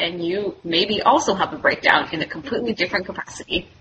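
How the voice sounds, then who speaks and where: Over noticeable background noise, a woman speaks at a fairly quick pace with medium pitch and ordinary pitch variation. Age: 30s. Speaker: medical student. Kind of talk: casual chat.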